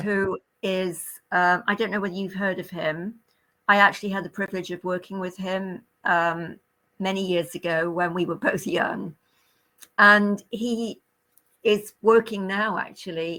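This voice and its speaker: On a very clean recording with a silent background, a woman with a British accent speaks at a fairly slow pace, leaving long, frequent pauses. Her tone is bright and sharp, her intonation monotone and flat. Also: medium pitch for a woman. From Great Britain. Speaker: retired nurse. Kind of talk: interview answer.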